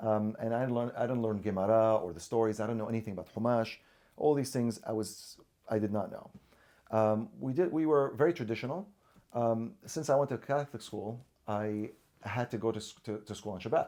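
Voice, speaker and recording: With an Arabic accent, this voice has a dark, mellow tone, a fairly quick pace and ordinary pitch variation. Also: man. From Syria. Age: 40s. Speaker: orthodontist. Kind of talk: interview. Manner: halting, many repetitions and fillers.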